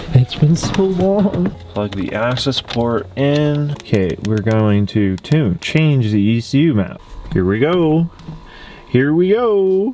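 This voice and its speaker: His pitch is fairly high for a man and swings very widely as he talks at a very slow pace. Noticeable background noise runs underneath. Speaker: car enthusiast YouTuber. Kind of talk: vlog commentary. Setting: garage. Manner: casual, filler-heavy.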